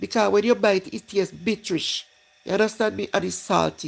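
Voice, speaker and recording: A woman speaks with a Jamaican accent and vocal fry. Her pace is moderate. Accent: Jamaican, patois-inflected. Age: 60s. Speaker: live-stream host. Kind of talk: casual chat.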